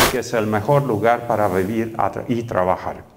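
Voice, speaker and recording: A man is heard with audible room echo. There is noticeable background noise. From Romania, Transylvania. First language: Romanian (speaking Spanish). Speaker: professor. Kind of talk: lecture. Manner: hesitant, many fillers.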